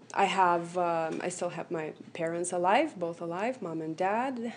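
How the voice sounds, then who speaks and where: A woman's medium-pitched voice unfolds at a very slow pace. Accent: Lithuanian. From Lithuania. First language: Lithuanian. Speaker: motivational speaker, accident survivor. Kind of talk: radio interview. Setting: radio studio. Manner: hesitant, many fillers.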